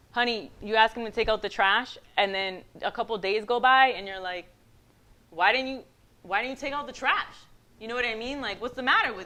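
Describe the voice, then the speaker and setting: A woman with a Puerto Rican accent talks in an animated tone at a fairly quick pace, with ordinary pitch variation, long, frequent pauses and big swings in loudness. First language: Spanish. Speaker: guest speaker. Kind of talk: motivational talk.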